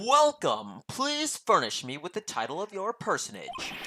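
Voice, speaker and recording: A man puts on a character voice, high-pitched and theatrical in tone, at a moderate pace. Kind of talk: formal, over the top announcer. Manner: overly formal, theatrical.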